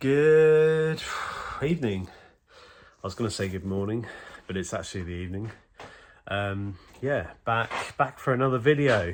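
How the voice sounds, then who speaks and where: A man with a British accent talks at a medium pitch with lively intonation, leaving long, frequent pauses. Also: moderate pace. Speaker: car mechanic vlogger. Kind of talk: casual vlog. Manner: hesitant, filler-heavy.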